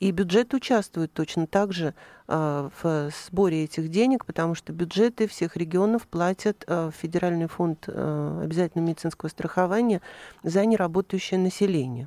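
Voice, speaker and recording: A woman speaks at a moderate pace in a dark, mellow tone. The recording is very clean, with a silent background. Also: fairly low pitch for a woman, ordinary pitch variation. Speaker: chief physician. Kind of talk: radio interview. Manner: formal.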